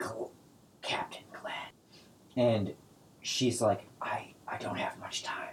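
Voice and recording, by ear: A man whispers in a hissing, put-on character voice at a very slow pace, leaving long, frequent pauses.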